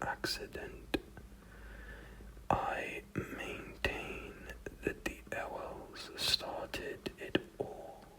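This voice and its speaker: Someone is whispering. Noticeable background noise sits behind it. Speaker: ASMR content creator. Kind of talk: ASMR book reading, relaxing whispers. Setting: close microphone setup with audible breaths. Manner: whispered, soft-spoken, slow.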